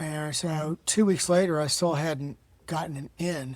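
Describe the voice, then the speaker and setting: This man's voice sits fairly high in pitch and is somewhat breathy. His intonation stays fairly even. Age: 70s. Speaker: cancer survivor and author. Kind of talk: interview. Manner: conversational, with fillers.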